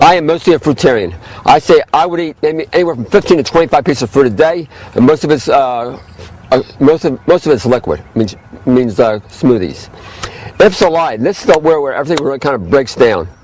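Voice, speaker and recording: The man has a fairly high pitch and lively intonation, speaking at a fairly quick pace amid noticeable background noise. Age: 60s. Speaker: health food store owner. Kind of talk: informal health talk to camera. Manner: fast; halting, many fillers.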